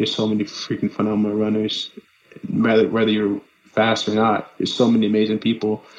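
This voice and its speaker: A man with an American accent talks at a fairly quick pace and a fairly low pitch. There is noticeable background noise. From Los Angeles, California. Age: 30s. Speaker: runner. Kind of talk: casual chat.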